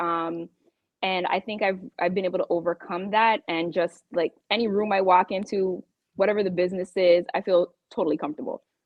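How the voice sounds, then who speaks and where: A woman with a slight Jamaican accent, fairly quick in pace and fairly even in intonation. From Toronto, Canada, Jamaican family. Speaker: real estate professional. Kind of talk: podcast interview. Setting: live podcast.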